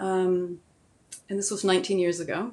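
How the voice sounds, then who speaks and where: A woman speaks in an unremarkable speaking voice. Her pitch is medium and her pace fairly slow. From US Southwest (New Mexico), born in Germany. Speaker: midwife and degrowth advocate. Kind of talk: interview conversation. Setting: remote call.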